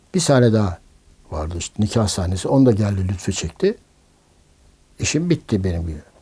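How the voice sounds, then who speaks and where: A man's voice has a dark, mellow tone and is somewhat breathy. He speaks at a moderate pace against a quiet background. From Istanbul, Turkey. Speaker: film director and producer. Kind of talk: oral history interview answer. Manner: casual, anecdotal. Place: home room.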